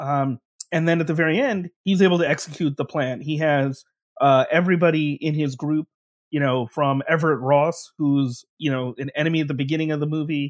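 Recorded with a dry, close sound and no echo, a man speaks in an unremarkable speaking voice, fairly high in pitch, with fairly even intonation at a fairly quick pace. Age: 40s. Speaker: professor. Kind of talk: casual interview chat.

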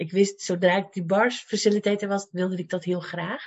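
A woman of medium pitch speaks at a moderate pace in a somewhat breathy voice. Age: 50s. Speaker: life coach and cancer patient. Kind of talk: interview.

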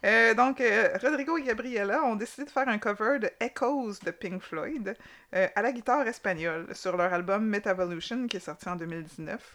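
A woman at a moderate pace with lively intonation, against a quiet background. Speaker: podcast co-host. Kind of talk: casual chat.

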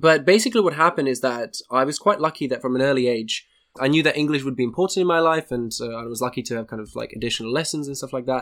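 In a very clean recording with a silent background, a man speaks at a very fast pace with hardly any pauses. His pitch is fairly high, with ordinary pitch variation. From Slovakia. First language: Slovak. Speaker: neuroscientist.

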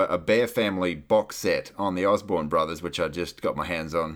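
In a very clean recording with a silent background, a man with an Australian accent talks at a fairly quick pace. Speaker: podcaster and radio DJ. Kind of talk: casual interview chat.

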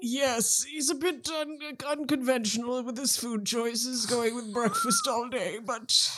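A man puts on a character voice at an extremely high pitch, raised and projected, speaking at a fairly slow pace over clear background noise. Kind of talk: stiff upper-class servant speech. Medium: actual play. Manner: courteous, formal, gently chatty.

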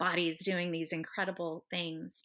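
A woman talks at a fairly quick pace in an ordinary speaking voice. The recording is very clean, with a silent background. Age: 40s. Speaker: Pilates instructor. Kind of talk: casual chat.

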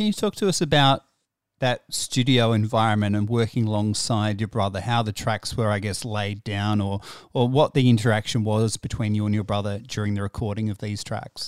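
Recorded dry and close with no echo and a silent background, the very clean clip carries an Australian accent and fairly even intonation. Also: man, fairly low pitch for a man, fairly quick pace. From South Australia. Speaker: podcast host. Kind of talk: interview.

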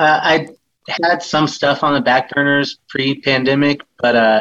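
A man's plain, everyday voice at a medium pitch, with fairly even intonation. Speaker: band member musician. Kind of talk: interview conversation. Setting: remote call from touring road.

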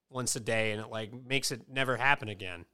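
Someone with an American accent talks at a fairly quick pace in a bright, sharp tone, on a very clean recording with a silent background. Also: man. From Connecticut. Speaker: podcast host and rapper. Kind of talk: casual chat. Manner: animated.

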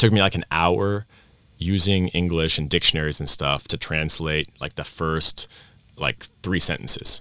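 With an American accent, this voice has a bright, sharp tone, vocal fry, fairly even intonation and a moderate pace. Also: man. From Vienna, Austria (American parents). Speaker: language teacher and teacher coach. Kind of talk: interview at a conference. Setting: conference venue.

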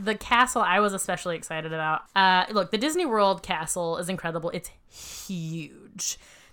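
A woman with an unremarkable speaking voice talks at medium pitch and a moderate pace, with ordinary pitch variation and hardly any pauses. The recording is very clean with a silent background. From US South, Savannah, Georgia. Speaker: podcast co-host, former improviser. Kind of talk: casual chat. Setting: home.

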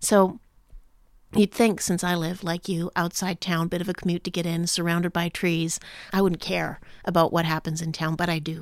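A woman talks at a fairly quick pace in a normal speaking voice, fairly low in pitch. The recording is very clean with a silent background. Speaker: podcast host. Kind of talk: interview conversation.

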